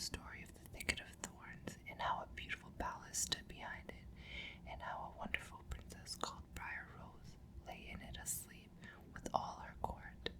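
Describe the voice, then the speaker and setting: Someone whispers in a soothing tone at a moderate pace over noticeable background noise. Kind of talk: ASMR bedtime story reading. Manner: whispered, soothing.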